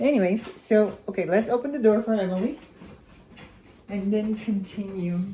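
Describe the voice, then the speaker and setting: There is noticeable background noise as a woman at medium pitch speaks. Her pace is moderate, with long, frequent pauses. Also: ordinary pitch variation. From Armenia. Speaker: cooking vlogger. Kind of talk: cooking tutorial. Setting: home kitchen. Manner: casual, chatty with hesitations.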